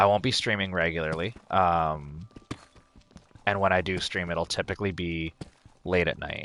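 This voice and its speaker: This man has a very deep, low pitch and a bright, sharp tone. He speaks at a fairly slow pace with fairly even intonation. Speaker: gaming streamer. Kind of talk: live gameplay stream chat. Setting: home basement.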